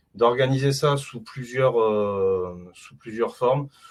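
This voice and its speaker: A man talks at a very slow pace. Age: 40s. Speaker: consultant presenting his 3D printing hobby. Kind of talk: online meet-up presentation. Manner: hesitant, many fillers (euh, bah).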